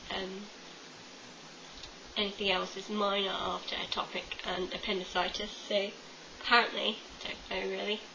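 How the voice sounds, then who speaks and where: A woman with an English accent at a medium pitch and moderate pace, monotone and flat in intonation, with long, frequent pauses, audible room echo and noticeable background noise. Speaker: vlogger. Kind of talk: casual vlog monologue. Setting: home webcam. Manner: chatty, many fillers. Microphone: webcam, poor quality.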